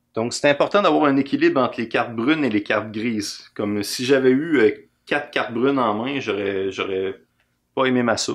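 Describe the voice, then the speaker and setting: At a moderate pace, a man speaks in a Quebec accent with ordinary pitch variation. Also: medium pitch for a man. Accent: Québécois French. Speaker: board game designer. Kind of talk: game rules explanation and playthrough. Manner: casual.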